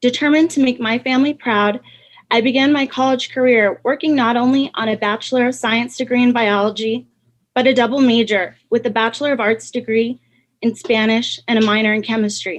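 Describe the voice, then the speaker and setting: A woman with a New Mexico accent speaks at a fairly quick pace in a high pitch, keeping her loudness very even and her intonation fairly even. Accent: New Mexican English. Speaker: pharmacy student. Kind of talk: prepared speech. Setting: video call.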